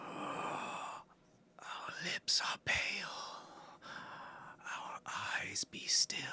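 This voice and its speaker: A whispering, put-on character voice moves at a very slow pace with long, frequent pauses. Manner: haunting.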